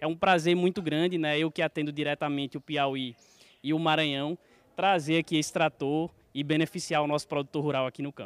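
Using a plain, everyday voice, a man with fairly high pitch talks at a fairly quick pace with fairly even intonation. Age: 30s. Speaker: bank manager. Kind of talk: interview.

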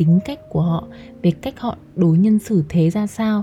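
At a fairly slow pace and with ordinary pitch variation, the speaker talks over noticeable background noise. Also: woman. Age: 20s. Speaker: podcast host. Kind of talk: personal monologue.

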